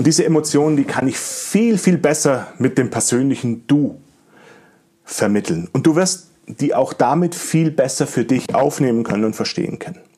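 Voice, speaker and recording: A man speaks in a fairly high voice with a dark, mellow tone. His intonation is lively and his pace moderate. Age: 40s. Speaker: podcast host and digital agency owner. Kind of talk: solo podcast monologue.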